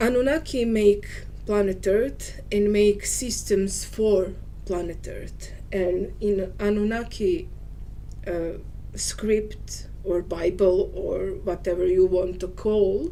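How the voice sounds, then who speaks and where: A woman speaks very slowly with a Serbian accent. Audible room echo and noticeable background noise fill the recording. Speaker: spiritual teacher. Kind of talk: monologue video talk. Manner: halting.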